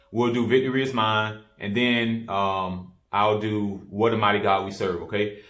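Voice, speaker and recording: The man's voice sits at a fairly low pitch and moves at a moderate pace. Audible room echo surrounds it. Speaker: keyboard teacher. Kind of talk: tutorial. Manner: casual, many fillers.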